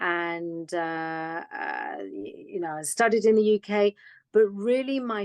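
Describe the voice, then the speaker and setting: In a dry, close recording with no echo, a woman speaks at medium pitch and a fairly slow pace with ordinary pitch variation. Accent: British. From England (UK), London. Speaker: foundation director. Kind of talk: interview conversation.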